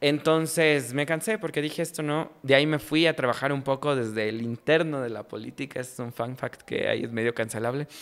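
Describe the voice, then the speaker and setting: A fairly quick delivery in a Quito accent, with ordinary pitch variation and hardly any pauses. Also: man. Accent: Quito Ecuadorian Spanish. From Ecuador, Quito. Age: 20s. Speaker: journalist and comedy content creator. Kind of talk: casual interview chat. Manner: animated. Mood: relaxed, humorous storytelling. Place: studio. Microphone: studio mic.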